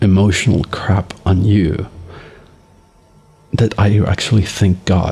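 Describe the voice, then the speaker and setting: A man speaks at a very slow pace with a fairly low pitch. Noticeable background noise can be heard. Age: 40s. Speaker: father vlogging for his son. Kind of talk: personal video diary.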